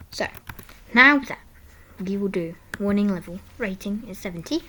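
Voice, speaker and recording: A woman talks at a medium pitch and a moderate pace with ordinary pitch variation. Her loudness swings widely. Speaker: coding tutorial youtuber. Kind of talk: tutorial. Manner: quiet; halting.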